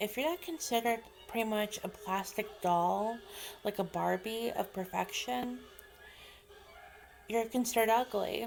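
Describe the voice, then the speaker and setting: Music plays in the background as a woman speaks in a fairly high pitch. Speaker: author vlogger. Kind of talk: casual vlog monologue. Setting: home video vlog, slouching. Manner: hesitant, many fillers.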